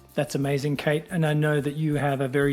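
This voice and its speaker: With music in the background, a man with a fairly high pitch speaks at a fairly quick pace. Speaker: podcast host. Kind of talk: podcast host talk.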